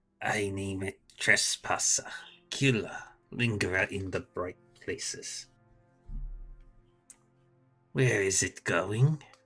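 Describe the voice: A man's put-on character voice, fairly low in pitch, at a very slow pace with long, frequent pauses and faint music in the background.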